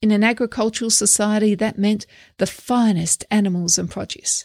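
A woman with a normal speaking voice at a medium pitch and ordinary pitch variation, moderate in pace, dry and close with no echo, on a very clean recording with a silent background. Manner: measured, steady, earnest; teacherly, reflective, formal.

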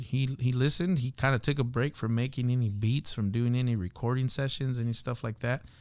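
On a very clean recording with a silent background, a man with an American accent uses an ordinary speaking voice at medium pitch, a moderate pace and ordinary pitch variation. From Los Angeles, South Central (Watts). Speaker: hip hop artist and worship leader. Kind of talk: casual interview chat.

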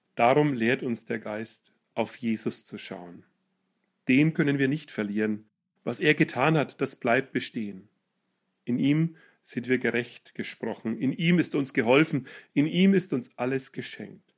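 The speaker is a man with an ordinary speaking voice. He uses a medium pitch, ordinary pitch variation and a fairly slow pace. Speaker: preacher. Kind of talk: sermon. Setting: church. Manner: formal, solemn; rhetorical, building in rhythm with repeated questions.

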